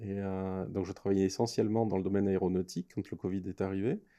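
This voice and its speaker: A man with a dark, mellow tone and fairly low pitch speaks very fast with fairly even intonation against a quiet background. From France. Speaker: entrepreneur, incubator co-founder. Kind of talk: podcast interview.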